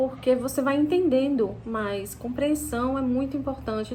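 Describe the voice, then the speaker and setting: With lively intonation and a somewhat breathy quality, the speech proceeds at a moderate pace. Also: woman. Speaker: English teacher. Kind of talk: casual teaching talk to camera. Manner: halting, many false starts.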